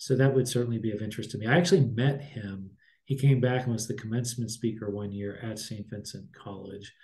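A man with an American accent talks very fast in a medium pitch, his loudness swinging widely. His tone is dark and mellow, somewhat breathy, with ordinary pitch variation. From Pittsburgh, Pennsylvania. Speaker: college president; guest. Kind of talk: interview. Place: office. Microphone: webcam.

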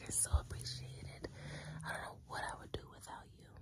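There is loud background noise behind a woman's voice. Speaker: content creator. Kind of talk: intimate affirming monologue to camera. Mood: tender, soft, affectionate. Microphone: phone near.

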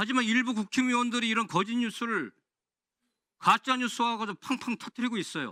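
An extremely high-pitched man speaks in a raised, projected voice with a bright, sharp tone, fairly even intonation and a fairly quick pace, recorded dry and close with no echo on a very clean recording with a silent background. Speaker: lawmaker questioning an official. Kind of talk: parliamentary committee questioning. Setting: parliamentary committee hearing room.

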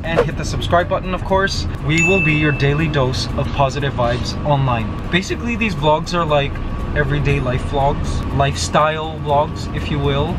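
A man keeps to a moderate pace while music plays in the background. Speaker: vlogger. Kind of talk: casual vlog chat. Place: car. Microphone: phone near.

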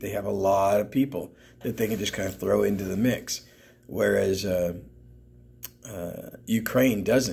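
A man talks at a fairly slow pace with vocal fry and ordinary pitch variation. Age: old. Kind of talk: casual talk to camera, news commentary.

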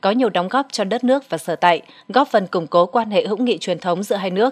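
A woman of medium pitch talks at a very fast pace with ordinary pitch variation, her sound dry and close with no echo. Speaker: news narrator. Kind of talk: news reading.

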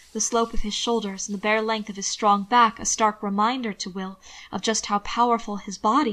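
Here is an unforced reading voice. It carries the whole clip.

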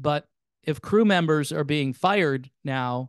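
Against a quiet background, a man talks at a very slow pace in a dry sound with no echo. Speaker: music commentator. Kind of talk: commentary. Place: home room. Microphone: studio mic.

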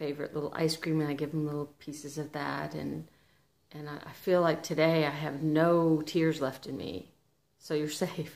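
A woman speaks in a very deep, low voice. Her intonation is monotone and flat. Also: moderate pace. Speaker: vlogger. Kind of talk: casual emotional vlog chat. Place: home room. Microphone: phone near.

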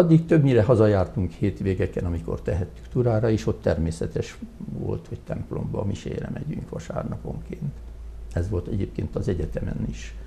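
Over light background noise, a man speaks at a moderate pace in a very deep, low pitch with very wide pitch swings. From Hungary, Tura; Hungary. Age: 70s. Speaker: retired hospital doctor; interview guest. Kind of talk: interview. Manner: halting. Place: studio. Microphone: lapel.

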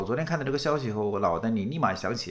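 Against a quiet background, a man speaks in an animated tone. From rural China. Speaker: political commentator. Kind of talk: political commentary monologue. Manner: repetitive stammering. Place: home room.

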